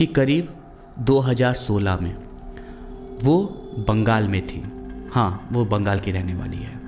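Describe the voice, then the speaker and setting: Over music in the background, a man with a fairly low pitch uses lively intonation and takes long, frequent pauses. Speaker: voice-over narrator. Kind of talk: horror story narration. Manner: casual, conversational.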